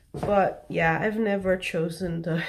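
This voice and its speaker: A woman talks at a very slow pace. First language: not English. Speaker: vlogger. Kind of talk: personal vlog confession. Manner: halting.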